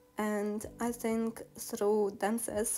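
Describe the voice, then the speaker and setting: A woman speaks with a Ukrainian accent. Her pitch is medium. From Ukraine. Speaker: vlogger. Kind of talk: personal life story. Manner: halting.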